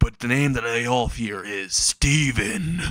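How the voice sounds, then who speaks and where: A man puts on a raspy character voice at a medium pitch, speaking at a fairly slow pace. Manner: menacing.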